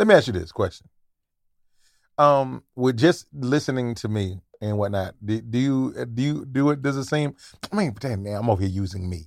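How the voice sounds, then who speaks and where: A man speaks in a plain, everyday voice at a medium pitch, with lively intonation and a moderate pace. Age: 40s. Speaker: comedian and podcaster. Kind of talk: casual chat.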